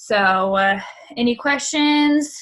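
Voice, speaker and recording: A woman's voice with ordinary pitch variation. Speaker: social media trainer for a business team. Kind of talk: online training session. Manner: fast; casual, filler-heavy.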